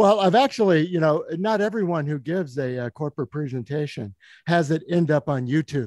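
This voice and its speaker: In a dry, close recording with no echo, a man with a fairly high pitch speaks at a moderate pace, his pitch swinging very widely. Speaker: podcast host and interviewer. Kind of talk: interview question.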